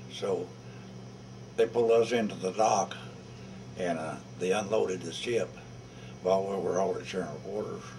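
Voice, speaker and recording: Over noticeable background noise, a man talks at a moderate pace in a very deep, low pitch. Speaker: war veteran. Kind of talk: interview answer. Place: hall.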